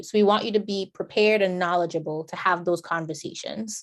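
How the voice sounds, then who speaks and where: A woman talks at medium pitch and a moderate pace in an ordinary speaking voice. Her intonation stays fairly even. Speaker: homebuyer program presenter. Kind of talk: informational presentation.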